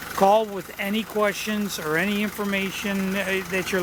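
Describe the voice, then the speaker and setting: A man's high-pitched voice comes through with noticeable background noise behind it. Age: 70s. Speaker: used car dealer. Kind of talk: sales pitch. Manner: halting.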